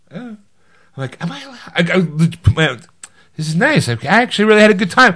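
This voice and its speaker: Bright, sharp and high-pitched, a man's animated voice makes very wide pitch swings and big swings in loudness, broken by long, frequent pauses. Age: 50s. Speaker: podcast co-host. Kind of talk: casual chat.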